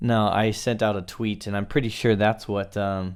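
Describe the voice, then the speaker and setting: At a fairly slow pace, a man speaks in a fairly low pitch. His intonation is monotone and flat. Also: very clean recording, silent background. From USA. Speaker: YouTuber living in Japan. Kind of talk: live stream chat. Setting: live stream at home. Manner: casual, filler-heavy.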